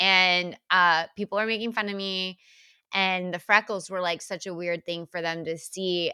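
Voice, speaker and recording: A loud woman's voice, fairly low in pitch, with a bright, sharp tone, an American accent and fairly even intonation, in a very clean recording with a silent background and a dry, close sound with no echo. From deep South Texas. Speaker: podcast co-host. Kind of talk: casual chat. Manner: loud laugh.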